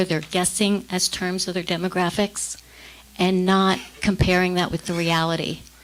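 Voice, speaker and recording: A woman speaks at a medium pitch in a flat monotone. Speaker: defense attorney. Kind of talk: public comment.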